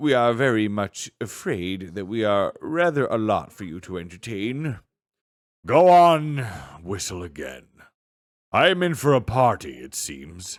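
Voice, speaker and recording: A growling, put-on character voice makes very wide pitch swings. The recording is very clean, with a silent background. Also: man, medium pitch for a man, moderate pace. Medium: read story. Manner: blunt, impatient.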